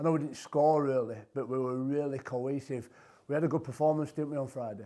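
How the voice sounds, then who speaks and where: A medium-pitched man with a dark, mellow tone, fairly quick pace and fairly even intonation against a quiet background. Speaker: podcast host, former rugby player. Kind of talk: casual interview.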